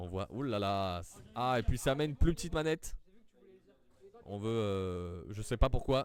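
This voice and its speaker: Animated in tone, a man speaks at a fairly slow pace with a fairly low pitch, lively intonation and long, frequent pauses. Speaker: amateur foosball commentator. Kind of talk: live commentary.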